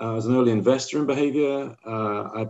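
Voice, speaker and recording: A man speaks with a British accent and a dark, mellow tone. His pitch variation is ordinary. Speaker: company executive. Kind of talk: live webinar interview.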